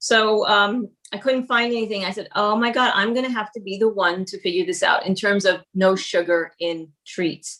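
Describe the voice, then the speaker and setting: A woman with a New York accent speaks at medium pitch in a bright, sharp tone. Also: ordinary pitch variation, moderate pace. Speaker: cookbook author and baker. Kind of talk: casual interview chat. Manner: halting, many fillers and repeats.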